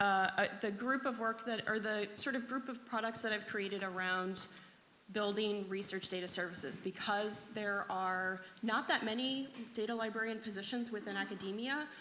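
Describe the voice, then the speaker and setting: A woman's fairly high voice at a moderate pace, with fairly even intonation and audible room echo. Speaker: data librarian. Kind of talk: conference talk.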